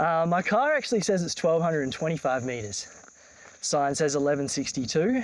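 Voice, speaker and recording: With an Australian accent, a man speaks at a fairly quick pace in a fairly high pitch, his voice making very wide pitch swings. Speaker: travel vlogger. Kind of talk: casual vlog narration. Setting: outdoors. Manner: casual with many fillers.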